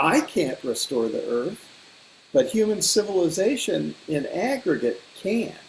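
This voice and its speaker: A man with a high voice talks while noticeable background noise carries on behind him. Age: 70s. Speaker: ecosystem restoration advocate. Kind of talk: panel discussion. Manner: reflective, with hesitations and repetitions.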